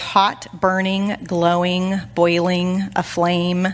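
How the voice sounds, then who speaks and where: A very slow, medium-pitched female voice. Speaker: women's Bible study teacher. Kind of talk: sermon. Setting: church. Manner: animated.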